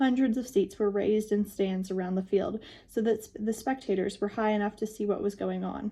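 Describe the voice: The speaker reads aloud plainly, keeping the intonation fairly even.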